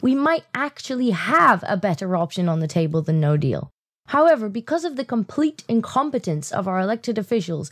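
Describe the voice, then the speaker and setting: With a British accent, a woman talks fairly quickly at a medium pitch with very wide pitch swings, in dry, close sound with no echo. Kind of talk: political commentary video narration. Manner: sarcastic.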